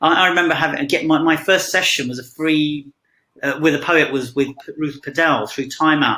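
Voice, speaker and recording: Talking fairly quickly, a man with a British accent has a fairly high pitch. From England, Punjabi immigrant family. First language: Punjabi. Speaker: poet. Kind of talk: interview on video call. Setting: online video call. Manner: halting, many fillers.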